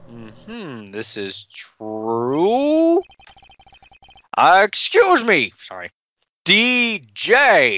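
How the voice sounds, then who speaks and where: The put-on character voice moves at a very slow pace, with long, frequent pauses. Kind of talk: courtroom speech. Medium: fan dub. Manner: hesitant, easily confused.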